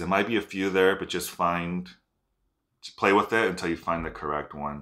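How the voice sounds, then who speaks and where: A man's very deep, low voice carries a bright, sharp tone. His intonation is fairly even, set against a quiet background. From Mexico, Michoacán (Zacapu area); Michoacán, Mexico. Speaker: genealogy video creator. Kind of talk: tutorial. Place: home room. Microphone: phone near.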